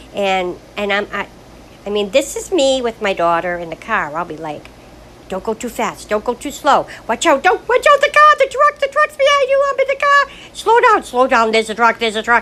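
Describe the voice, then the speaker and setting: Noticeable background noise behind a woman's moderate pace. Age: 60s. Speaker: widow recording personal video diary. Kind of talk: personal monologue. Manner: rambling, halting with repetitions.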